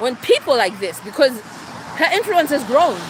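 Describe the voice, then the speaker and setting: Noticeable background noise runs under a woman's voice. She speaks in a passionate tone at a moderate pace. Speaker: livestreamer. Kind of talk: live stream monologue. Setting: outdoors, walking. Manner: raised pitch.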